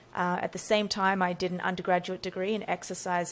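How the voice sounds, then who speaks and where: A woman's medium-pitched voice in an Australian accent, monotone and flat at a moderate pace, in a very clean recording with a silent background. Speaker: neurophysiologist and brain coach. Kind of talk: podcast interview.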